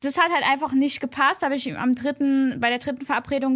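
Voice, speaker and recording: A woman's raised, projected voice, high in pitch, with a bright, sharp tone, on a very clean recording with a silent background. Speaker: podcast guest. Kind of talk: casual chat. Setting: at a host's home. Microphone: not close to the microphone.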